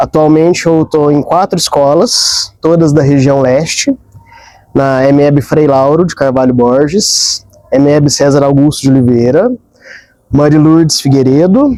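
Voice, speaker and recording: At a fairly slow pace, the speaker uses an unremarkable speaking voice with ordinary pitch variation. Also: man, fairly high pitch for a man. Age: 30s. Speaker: school psychologist. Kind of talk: interview.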